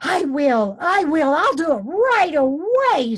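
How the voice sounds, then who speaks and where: A woman's put-on character voice, high-pitched, raised and projected, fairly slow, with very wide pitch swings. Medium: read story. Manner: excitable, emotional.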